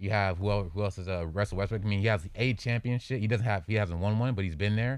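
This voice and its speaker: A man with an American accent talks very fast, with hardly any pauses, a fairly low pitch and ordinary pitch variation. The recording is very clean, with a silent background. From Los Angeles. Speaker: sports analyst, grad student. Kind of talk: sports debate. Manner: halting.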